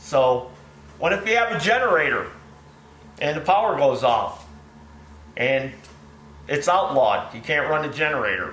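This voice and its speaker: Over noticeable background noise and audible room echo, a man with a fairly high voice speaks at a moderate pace, his pitch swinging very widely between long, frequent pauses. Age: 60s. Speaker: small engine repair shop owner. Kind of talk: casual video commentary. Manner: folksy, conversational.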